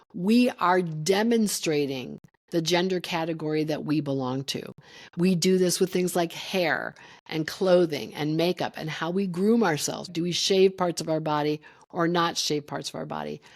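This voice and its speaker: Speaking at a moderate pace, a woman uses a fairly low pitch with ordinary variation. The recording is very clean, with a silent background. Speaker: professor. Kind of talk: lecture.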